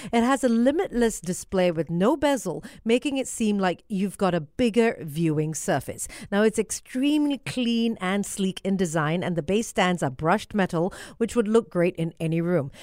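In an upbeat, animated tone, a woman with a medium-pitched voice talks at a moderate pace. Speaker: radio host. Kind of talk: radio DJ patter. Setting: radio studio.

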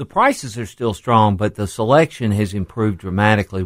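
A man with a plain, everyday voice speaks at a fairly low pitch and a moderate pace on a very clean recording with a silent background. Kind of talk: casual radio chat. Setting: studio.

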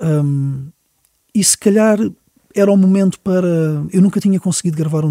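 This man talks at a moderate pace with ordinary pitch variation, his tone dark and mellow and the sound dry and close with no echo. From Portugal, Lisbon. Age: 40s. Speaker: musician. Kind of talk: interview. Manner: halting.

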